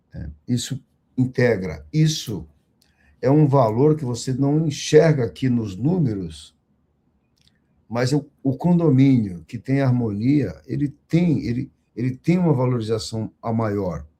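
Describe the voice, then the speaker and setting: At a very slow pace, a man at medium pitch speaks with lively intonation and a dark, mellow, somewhat breathy tone. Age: 60s. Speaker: condominium management executive. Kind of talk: online panel discussion. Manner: formal.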